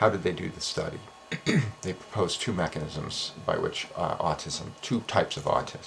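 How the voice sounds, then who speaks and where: Noticeable background noise sits behind a soft-spoken man talking at a moderate pace. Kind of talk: explainer monologue. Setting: home office at night. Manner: hesitant fillers.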